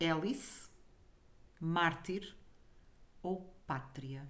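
Audible room echo surrounds the recording. A woman speaks with lively intonation. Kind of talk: casual chat.

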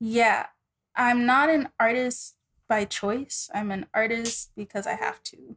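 A woman with an American accent speaks at a very slow pace and a fairly high pitch with ordinary pitch variation, in a dry, close sound with no echo. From Texas, Dallas. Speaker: insurance adjuster and singer. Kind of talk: casual interview.

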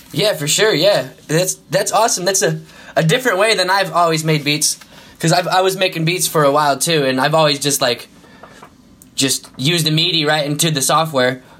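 A man talks at a fairly quick pace and fairly high pitch with ordinary pitch variation against noticeable background noise. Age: 20s. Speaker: podcast host. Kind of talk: casual interview chat. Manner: casual, friendly.

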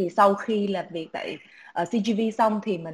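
A woman's somewhat breathy voice at a very slow pace, with fairly even intonation. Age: 20s. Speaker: startup founder in music marketing. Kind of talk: online panel discussion.

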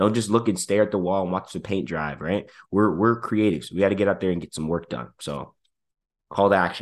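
A man talks in an ordinary speaking voice, fairly low in pitch with ordinary pitch variation. He keeps a fairly quick pace against a quiet background. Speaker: podcast host and business consultant. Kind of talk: casual podcast chat, business talk. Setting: video podcast recording.

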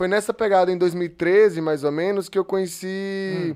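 Ordinary pitch variation marks a man speaking at a moderate pace. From rural Sergipe–Bahia border, northeast Brazil. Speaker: filmmaker and actor. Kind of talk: casual chat. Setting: live stream.

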